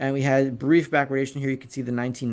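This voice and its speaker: The man's voice is at a medium pitch, and the background is quiet. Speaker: precious metals analyst. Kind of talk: market commentary with charts. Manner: fast.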